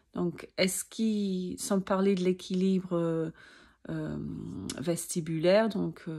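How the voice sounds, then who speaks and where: On a very clean recording with a silent background, a woman speaks very slowly at a medium pitch, her tone dark and mellow, her intonation fairly even. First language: not French (speaking French). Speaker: sophrology practitioner and vertigo sufferer. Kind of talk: personal video talk to camera. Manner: halting, many hesitations.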